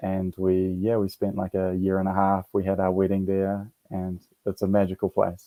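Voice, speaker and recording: In a New Zealand accent, a man speaks with a very deep, low pitch, a dark, mellow tone and monotone, flat intonation. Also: moderate pace. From New Zealand (Auckland). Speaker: military veteran, yoga and meditation teacher. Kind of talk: interview. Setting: radio show. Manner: halting, many fillers.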